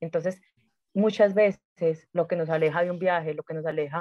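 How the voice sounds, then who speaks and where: Moderate pace and fairly even intonation in an unremarkable speaking voice. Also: woman. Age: 30s. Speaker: spiritual coach. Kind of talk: casual interview chat.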